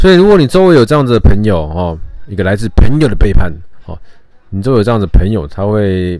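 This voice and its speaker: A man speaks in a Taiwanese accent at a fairly low pitch, his tone dark and mellow. His delivery is fairly quick, with lively intonation. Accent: Taiwanese Mandarin. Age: 30s. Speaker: podcast host. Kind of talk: casual monologue. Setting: home recording.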